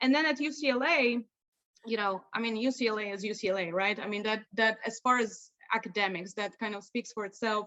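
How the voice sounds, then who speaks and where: A woman with a Polish accent talks at a fairly quick pace, her fairly high voice showing ordinary pitch variation. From Poland. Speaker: lawyer. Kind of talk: interview.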